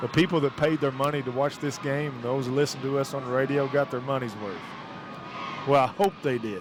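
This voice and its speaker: Against noticeable background noise, a man with a Kentucky accent talks at a fairly quick pace, his fairly high pitch showing ordinary variation. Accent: Harlan County Kentucky. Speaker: radio sports commentator. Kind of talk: live radio sports commentary.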